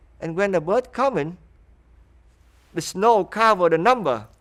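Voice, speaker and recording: With a Vietnamese accent, a man speaks at a moderate pace, his pitch swinging very widely. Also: very clean recording, silent background. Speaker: refugee interviewee. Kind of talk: interview testimony.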